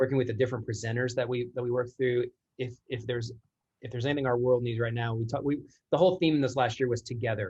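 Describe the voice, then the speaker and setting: A man talks at a very fast pace in a medium-pitched, somewhat breathy voice with fairly even intonation. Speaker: church creative director. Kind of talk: casual chat.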